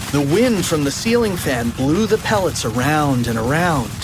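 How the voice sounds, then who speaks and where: The speaker keeps a moderate pace amid noticeable background noise. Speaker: audiobook narrator. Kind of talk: children's audiobook reading.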